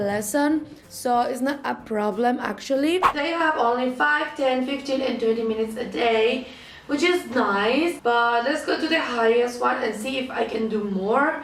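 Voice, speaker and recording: A woman speaks at a moderate pace with a high pitch. Audible room echo and noticeable background noise are present. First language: Spanish. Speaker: language-learning vlogger. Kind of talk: tutorial.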